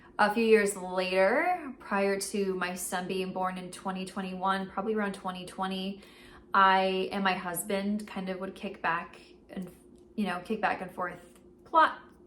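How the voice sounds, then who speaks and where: In a room with audible echo, a woman speaks fairly slowly at a medium pitch with flat, monotone intonation. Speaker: writing vlogger. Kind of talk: casual vlog.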